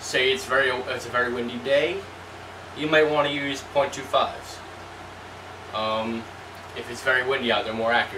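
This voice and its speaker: With noticeable noise behind him, a man speaks at a moderate pace with fairly even intonation and long, frequent pauses. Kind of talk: tutorial. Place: home room. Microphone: camera far.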